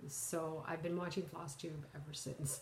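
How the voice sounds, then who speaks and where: A woman's very deep, low voice comes through with audible room echo. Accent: Canadian. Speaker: cross-stitch vlogger. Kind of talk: casual vlog talk. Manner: halting, many fillers.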